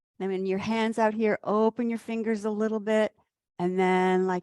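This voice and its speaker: Fairly even in intonation, a woman speaks in a calm, soothing tone. The sound is dry and close with no echo, on a very clean recording with a silent background. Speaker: qi gong instructor. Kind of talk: guided exercise class. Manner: slow.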